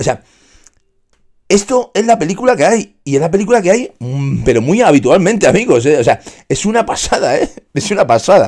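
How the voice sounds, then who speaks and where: Against a quiet background, a man with a high pitch speaks in an animated tone at a fairly quick pace, his pitch swinging very widely. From Spain. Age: 40s. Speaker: fitness streamer. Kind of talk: casual livestream monologue. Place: home room. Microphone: studio mic.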